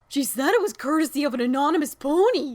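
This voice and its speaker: A woman puts on a high-pitched character voice. She talks at a very fast pace. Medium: read story. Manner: friendly, casual.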